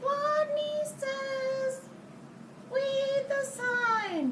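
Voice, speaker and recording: A woman puts on a squeaky character voice. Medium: read story. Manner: timid, quiet.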